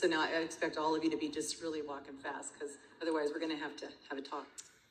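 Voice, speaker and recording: Audible room echo fills the space around this voice. The woman talks in an American accent. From California. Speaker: master of ceremonies and speaker. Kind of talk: emceeing a conference.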